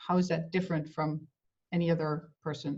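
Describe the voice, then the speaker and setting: A woman's somewhat breathy voice at a moderate pace. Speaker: interviewer. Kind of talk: interview.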